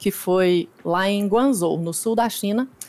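With a plain, everyday voice, a woman talks at a moderate pace. She stays at a medium pitch and varies it in an ordinary way. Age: 30s. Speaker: competitive dance game player. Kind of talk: casual interview chat.

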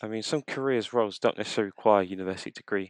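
With a London accent, a man at a fairly low pitch uses ordinary pitch variation in a dry, close sound with no echo. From North London, Tottenham. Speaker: marketing manager. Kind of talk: interview.

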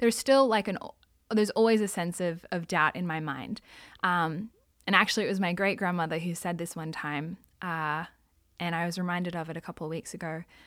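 A woman's fairly low voice with ordinary pitch variation at a fairly quick pace, in a very clean recording with a silent background. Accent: Australian. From Australia (Sydney). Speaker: Salvation Army member. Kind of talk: testimony. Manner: casual.

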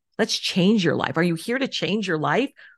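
An unremarkable speaking voice from a woman, fairly quick in pace, with ordinary pitch variation over a quiet background. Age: 50s. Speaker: life coach and entrepreneur. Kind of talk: interview conversation.

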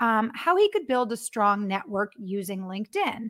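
An unremarkable speaking voice goes at a moderate pace. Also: woman. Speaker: web show host and business development manager. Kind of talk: live interview. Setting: live online broadcast.

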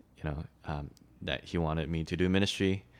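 A man's very deep, low voice with a Mandarin accent on a very clean recording with a silent background. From Malaysia, then Shanghai. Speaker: campus ministry worker. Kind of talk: casual interview. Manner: halting.

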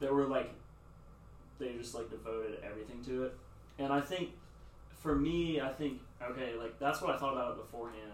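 Over noticeable background noise and audible room echo, a man with an American accent talks at a fairly quick pace, with long, frequent pauses. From US South (Nashville). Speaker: church intern. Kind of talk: casual chat.

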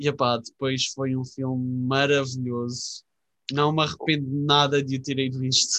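Here a man speaks with medium pitch and a bright, sharp tone. His delivery is fairly slow, with monotone, flat intonation. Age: 20s. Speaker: podcast co-host. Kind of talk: casual chat.

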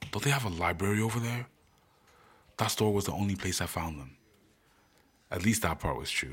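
Here a man with a very deep, low pitch moves at a fairly quick pace. His delivery is dramatic and animated, with ordinary pitch variation. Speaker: podcaster and author. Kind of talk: promo intro, then audiobook narration, then casual outro; dramatic narration of a heist story chapter. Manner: animated, casual and chatty in intro and outro; dramatic, voicing characters in a suspenseful tone.

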